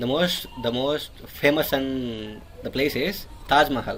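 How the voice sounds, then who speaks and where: This man has a fairly high pitch and ordinary pitch variation. Noticeable background noise sits behind him. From India. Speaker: engineering student. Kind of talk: casual online English lesson conversation.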